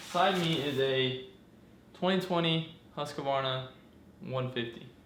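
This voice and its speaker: A man at fairly high pitch with ordinary pitch variation, amid noticeable background noise and audible room echo. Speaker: dirt bike hobbyist mechanic. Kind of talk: casual vlog tutorial. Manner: halting, many fillers.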